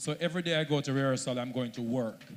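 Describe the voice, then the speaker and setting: Talking very fast, a man with a Jamaican accent uses a fairly high voice with ordinary pitch variation. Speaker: social media content creator. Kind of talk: panel talk at a launch event.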